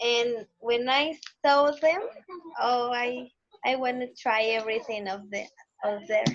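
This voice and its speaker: Speaking with a Mexican accent, a woman talks at a fairly slow pace in a high pitch with ordinary pitch variation. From Mexico. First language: Spanish. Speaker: English learner. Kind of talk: casual chat. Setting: video call.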